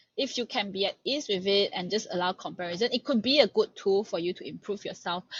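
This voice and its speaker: Speaking at a very fast pace with hardly any pauses, a woman uses a medium pitch and sounds somewhat breathy. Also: ordinary pitch variation. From Malaysia. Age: 20s. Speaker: master's student and research assistant. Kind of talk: podcast interview.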